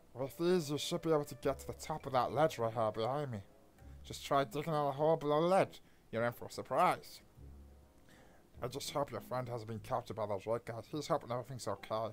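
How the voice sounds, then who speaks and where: Using a put-on character voice at a low-to-middle pitch, the speaker rattles along at a very fast pace. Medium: game stream.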